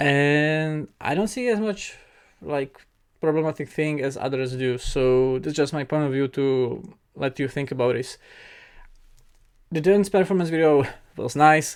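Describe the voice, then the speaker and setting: With a non-native accent, the speaker moves at a fairly slow pace, leaving long, frequent pauses. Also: very clean recording, silent background. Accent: noticeable non-native. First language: not English. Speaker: K-pop reaction youtuber. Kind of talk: casual reaction commentary. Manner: hesitant, many fillers.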